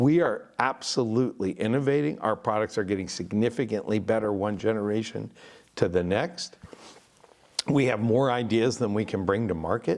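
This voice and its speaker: A man with an unremarkable speaking voice talks at a moderate pace in a fairly low pitch, with ordinary pitch variation and very even loudness. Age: 60s. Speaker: audio company founder and podcast host. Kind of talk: casual interview chat. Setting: listening room studio.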